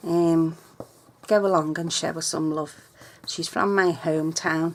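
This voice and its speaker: Against noticeable background noise, a woman speaks at a fairly low pitch. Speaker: papercraft tutorial vlogger. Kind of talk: tutorial. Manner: casual, chatty.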